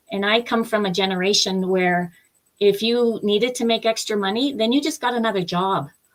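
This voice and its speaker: This woman has a plain, everyday voice with a Canadian accent. She talks at a fairly quick pace and a fairly high pitch. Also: ordinary pitch variation. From Eastern Canada. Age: 60s. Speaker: business opportunity promoter, former airline worker. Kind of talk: live interview testimony. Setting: live-streamed video chat.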